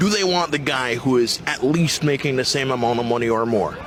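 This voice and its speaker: A man's voice with ordinary pitch variation and very even loudness, music in the background. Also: medium pitch for a man, fairly quick pace. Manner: theatrical, like a movie villain.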